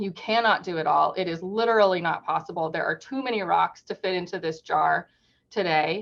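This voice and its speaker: Using vocal fry, a woman with a medium pitch talks at a fairly quick pace with ordinary pitch variation. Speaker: workshop presenter. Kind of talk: webinar presentation. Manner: fast.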